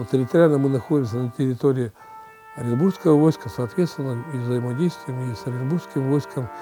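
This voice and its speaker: A man's medium-pitched voice with lively intonation, music in the background. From Yekaterinburg, Russia. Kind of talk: interview answer.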